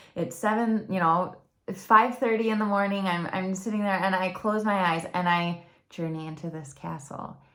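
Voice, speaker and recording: A woman speaks in a Michigan accent at a moderate pace. Her pitch varies in an ordinary way, and the room echo is audible. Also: medium pitch for a woman. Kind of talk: personal testimony vlog. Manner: talkative.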